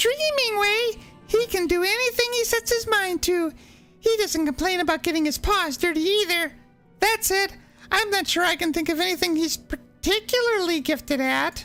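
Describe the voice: A put-on character voice sounds strained and guttural at an extremely high pitch. It moves at a moderate pace over faint music in the background.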